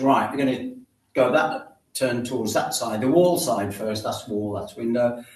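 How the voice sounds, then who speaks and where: A man speaks at a moderate pace with a medium pitch for a man and ordinary pitch variation. The room echo is audible. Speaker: exercise class instructor. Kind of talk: guided exercise class instruction.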